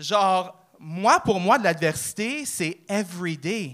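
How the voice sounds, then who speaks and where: A man with a high pitch and an animated, bright, sharp tone. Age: 30s. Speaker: amateur comedian, real estate broker. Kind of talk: stand-up. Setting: stage with audience.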